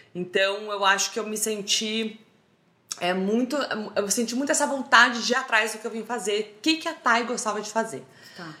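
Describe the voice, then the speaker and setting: Noticeable background noise sits behind a woman speaking at a moderate pace in a fairly high pitch. Her tone is animated, with ordinary pitch variation and big swings in loudness. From Brazil, Roraima (Boa Vista). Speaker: social media humorist. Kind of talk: casual chat.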